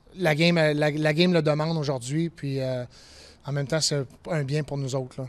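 At a moderate pace, a man with a fairly high pitch speaks in a normal speaking voice with fairly even intonation. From Quebec, Beauport; Quebec. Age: 40s. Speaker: ice hockey referee; coach. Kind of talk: interview. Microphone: handheld.

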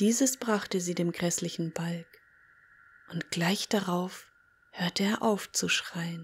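The delivery is dramatic in tone, moving at a very slow pace with long, frequent pauses. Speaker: storyteller and audio-story creator. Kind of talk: folk-tale narration, read aloud. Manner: slow, hushed storyteller pace with eerie dramatic emphasis; vivid, gripping, building suspense.

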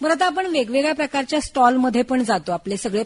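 Lively intonation from a woman with a high voice. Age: young. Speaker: radio host. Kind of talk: radio interview.

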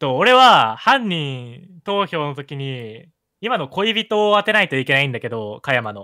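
A man's fairly high voice moves through very wide pitch swings and big swings in loudness. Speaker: gaming content creator. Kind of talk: casual chat during a murder mystery game, partly reading aloud.

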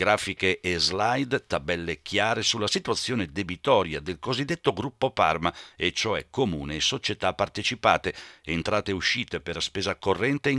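The tone is bright and sharp, with lively intonation at a moderate pace. The sound is dry and close with no echo, in a very clean recording with a silent background. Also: man. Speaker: local TV news reporter. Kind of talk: news report narration.

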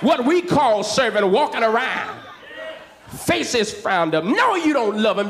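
Very wide pitch swings at a moderate pace over light background noise. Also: man. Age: young. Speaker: pastor. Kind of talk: church sermon. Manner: fervent, rhythmic preaching. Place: church. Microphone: handheld.

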